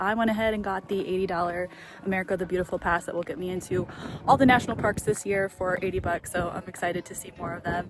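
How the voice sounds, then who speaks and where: A woman at medium pitch talks at a very fast pace. Noticeable background noise runs behind her. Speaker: travel vlogger. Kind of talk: casual vlog narration. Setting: outdoors then inside a cave. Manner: animated; whispering.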